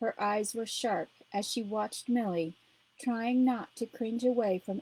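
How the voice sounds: This is a natural reading voice. The words come across as read aloud.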